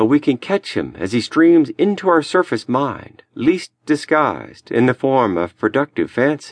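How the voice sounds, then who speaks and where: A man with an unremarkable speaking voice, fairly high pitch and lively intonation, at a fairly slow pace with hardly any pauses, against a quiet background. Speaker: audiobook narrator. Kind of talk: audiobook narration of a lecture, read aloud. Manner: measured, solemn, earnest.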